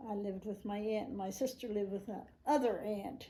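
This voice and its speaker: With an American accent, a woman at a medium pitch talks at a moderate pace in a somewhat breathy, dark, mellow tone and fairly even intonation. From New Jersey, Trenton area (US). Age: 90s. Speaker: great-grandmother interviewee. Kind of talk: family interview. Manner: halting, with hesitations.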